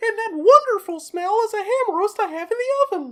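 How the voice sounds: A squeaky, put-on character voice sits at an extremely high pitch. It moves at a fairly quick pace.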